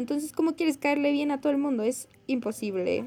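Over music in the background, a woman talks at a very fast pace in a high pitch with ordinary pitch variation. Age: young. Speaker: podcast co-host. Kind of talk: casual chat.

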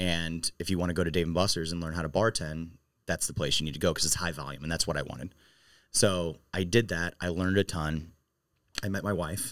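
On a very clean recording with a silent background, a man with a very deep, low pitch talks at a fairly quick pace with fairly even intonation. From St. Louis area, Missouri. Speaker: bar owner. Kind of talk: interview conversation.

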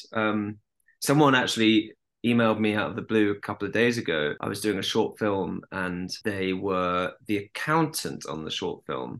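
A man speaks at a moderate pace with fairly low pitch. His intonation is lively, and the background is quiet. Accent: southern English. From London. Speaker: actor. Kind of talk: casual chat.

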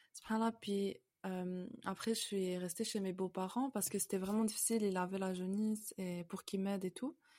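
Her tone dark and mellow, a woman speaks at medium pitch and a moderate pace with fairly even intonation. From Canada (moved from France at about 5). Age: 20s. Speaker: convert sharing her story. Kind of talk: testimony. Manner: halting, many fillers.

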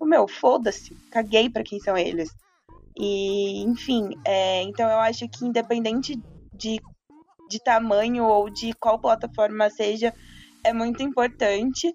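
With music playing behind her, a woman speaks fairly slowly in a fairly high pitch. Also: ordinary pitch variation. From Santos coast, São Paulo state, Brazil. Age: 20s. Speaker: football content creator. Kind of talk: casual chat.

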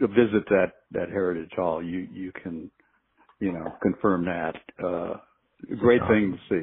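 A man with a very deep, low voice and an American accent talks in a relaxed tone, his intonation fairly even, his loudness swinging widely, and his pauses long and frequent. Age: 70s. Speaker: football coach. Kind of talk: casual interview conversation. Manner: slow, relaxed, rambling with filler words.

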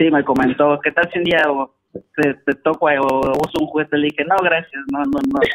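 An unremarkable speaking voice at a moderate pace, with hardly any pauses. The sound is dry and close with no echo, and the intonation stays fairly even. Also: man, fairly high pitch for a man. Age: 30s. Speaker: caller. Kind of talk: call-in advice conversation.

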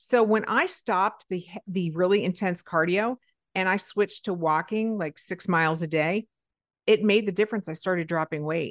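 In a dry, close sound with no echo and a quiet background, a woman speaks with an animated tone at a medium pitch, using ordinary pitch variation and a moderate pace. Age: 50s. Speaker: podcast host. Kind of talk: casual chat.

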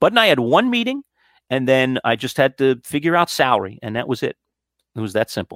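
A plain, everyday voice with an American accent moves at a fairly quick pace with lively intonation, on a very clean recording with a silent background and a dry, close sound with no echo. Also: man, medium pitch for a man. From New York City (Queens). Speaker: sports radio host and broadcasting professor. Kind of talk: interview.

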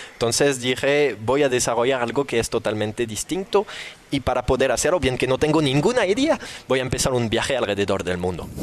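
With a French accent, a man of medium pitch talks at a fairly quick pace with lively intonation and very even loudness, over noticeable background noise. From southern France. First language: French (speaking Spanish). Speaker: firefighter and entrepreneur. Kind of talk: interview. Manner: animated.

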